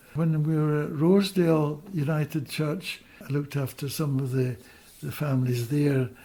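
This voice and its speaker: Somewhat breathy and dark, mellow in tone, a man speaks at a moderate pace with a fairly high pitch and fairly even intonation. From Scotland. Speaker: retired doctor. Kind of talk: interview. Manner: halting.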